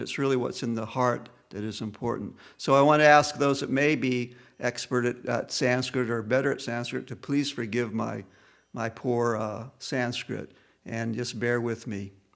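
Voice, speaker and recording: A man with a Southern US accent at medium pitch, moderate pace and fairly even intonation, on a very clean recording with a silent background. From US South. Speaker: audiobook reader of scripture with commentary. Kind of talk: reading aloud; spoken introduction.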